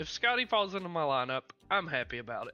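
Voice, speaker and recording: The man's voice is high-pitched, bright and sharp, raised and projected with very wide pitch swings. The background is quiet. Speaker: daily fantasy sports analyst. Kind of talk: livestream sports betting analysis. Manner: fast.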